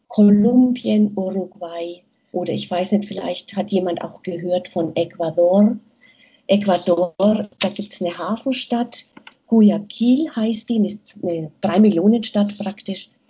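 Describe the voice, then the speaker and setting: A somewhat breathy woman at medium pitch and a very slow pace. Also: ordinary pitch variation. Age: 50s. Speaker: nurse and aid worker. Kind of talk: interview. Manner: hesitant, many fillers.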